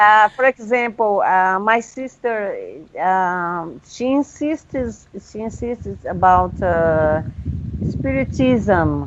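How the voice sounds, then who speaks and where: Over noticeable background noise, a woman with a non-native accent speaks at a very slow pace. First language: not English. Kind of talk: casual conversation over video call.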